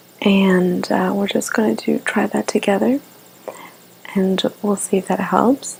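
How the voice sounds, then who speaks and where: A soft-spoken woman with a calm tone and medium pitch talks at a fairly slow pace with very even loudness, ordinary pitch variation and long, frequent pauses over noticeable background noise. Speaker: ASMR artist playing a therapist. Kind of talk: ASMR therapy role play, guided relaxation. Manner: soft-spoken, calm, slow.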